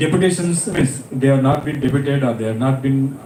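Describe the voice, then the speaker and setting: In a Karnataka accent, a man talks at a moderate pace with a fairly high pitch. Noticeable background noise and audible room echo fill the recording. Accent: Indian English (Kannada). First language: Kannada. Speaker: panel speaker. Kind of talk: panel discussion.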